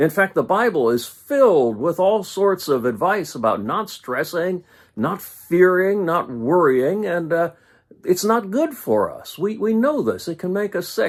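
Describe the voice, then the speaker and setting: At a fairly slow pace, a man speaks with a high pitch and very wide pitch swings, on a very clean recording with a silent background. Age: 60s. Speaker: pastor. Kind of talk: informal video devotional talk. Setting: live stream from home office. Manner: conversational with frequent filler words.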